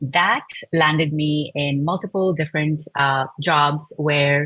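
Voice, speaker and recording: This woman, with a Telugu accent, speaks in a very deep, low voice. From India. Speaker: product design manager. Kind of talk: interview. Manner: frequent fillers, uh and um.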